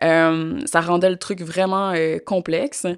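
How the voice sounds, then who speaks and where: A woman speaks at a medium pitch. The recording is very clean and dry, close with no echo, over a silent background. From Quebec. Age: young. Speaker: interview guest, complainant. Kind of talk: interview testimony. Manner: hesitant, many fillers.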